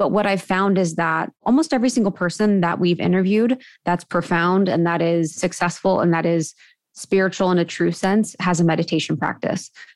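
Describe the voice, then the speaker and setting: Fairly quick, fairly low female speech in a plain, everyday voice, with ordinary pitch variation and very even loudness, on a very clean recording with a silent background. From US Midwest (Ohio). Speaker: podcast co-host, guest. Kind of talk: casual interview.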